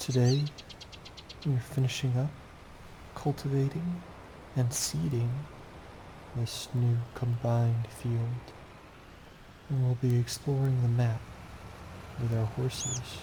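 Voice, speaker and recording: The speaker is soft-spoken, talking at a very slow pace with long, frequent pauses. Intonation stays fairly even and loudness very even. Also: man, medium pitch for a man. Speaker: gaming channel host. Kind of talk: gameplay commentary.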